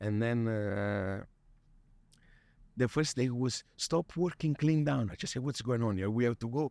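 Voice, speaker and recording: Someone with a Neapolitan accent speaks with long, frequent pauses on a very clean recording with a silent background and a dry, close sound with no echo. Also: man. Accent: Neapolitan Italian accent in English. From Italy, Naples. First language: Italian. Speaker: chef. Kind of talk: interview. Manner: halting.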